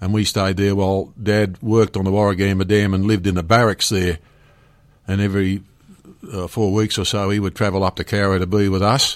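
A man with an Australian accent speaks in a fairly low pitch and a monotone, flat intonation. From Penrith, Western Sydney, Australia. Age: 70s. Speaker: retired police commander. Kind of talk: interview. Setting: radio studio. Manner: hesitant, many fillers.

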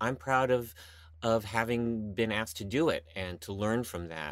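At a moderate pace, this man has an ordinary speaking voice with a fairly low pitch. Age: 50s. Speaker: stage actor. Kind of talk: casual chat. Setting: remote call.

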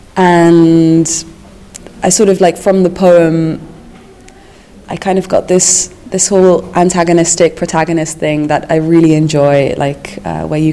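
A woman's fairly low voice, monotone and flat in intonation, at a fairly slow pace over noticeable background noise. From Netherlands. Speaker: animator and teacher. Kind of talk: interview.

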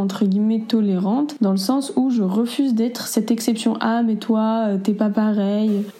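A woman speaks at a fairly slow pace with a fairly high pitch and fairly even intonation, over noticeable background noise. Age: 20s. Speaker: interviewee sharing experiences. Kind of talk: testimony.

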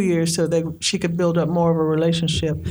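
A woman talks at a fairly quick pace. Room echo is audible around her voice. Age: 60s. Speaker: storyteller and poet. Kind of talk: storytelling.

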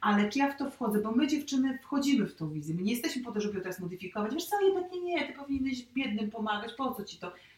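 Over noticeable background noise, a woman races along at a very fast pace with hardly any pauses, her high pitch swinging very widely. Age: 30s. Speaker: youtuber sharing her love story. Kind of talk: casual interview.

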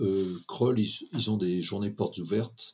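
Delivery is fairly slow. A somewhat breathy sound runs through the voice. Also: man. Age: 70s. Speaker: computer scientist. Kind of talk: interview. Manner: halting.

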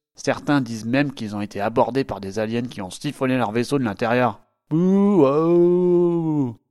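A man's theatrical tone with lively intonation. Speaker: board game reviewer. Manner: animated; theatrical, punchy, tongue-in-cheek.

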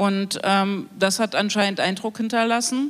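Talking in an unremarkable speaking voice, the woman keeps a medium pitch, a moderate pace and fairly even intonation. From Thuringia, eastern Germany. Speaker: broadcasting council member, queer activist. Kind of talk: panel discussion. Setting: live stage panel broadcast on radio.

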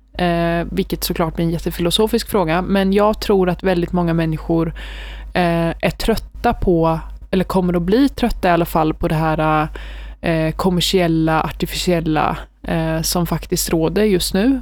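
A woman at a moderate pace with very even loudness. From Sweden, Västervik. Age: 20s. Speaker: university student. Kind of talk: casual interview.

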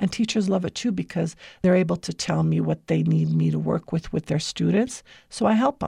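On a very clean recording with a silent background and a dry, close sound with no echo, a woman speaks at a fairly quick pace with an American accent. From United States. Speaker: educator and tutoring business founder. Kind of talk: radio interview.

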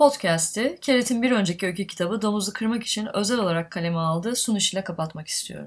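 A woman of medium pitch rushes along at a very fast pace with hardly any pauses, sounding somewhat breathy, with ordinary pitch variation. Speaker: podcast host and publisher. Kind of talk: interview; scripted narration.

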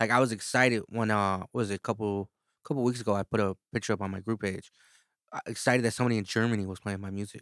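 Speaking at a very fast pace, a man with an American accent has a fairly low pitch and fairly even intonation. The recording is very clean, with a silent background, and the sound is dry and close with no echo. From East Chicago, Indiana. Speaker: rapper and producer. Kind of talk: casual chat.

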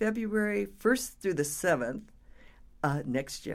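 At a moderate pace, a woman talks. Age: 70s. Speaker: health coach and former college president. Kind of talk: casual interview chat.

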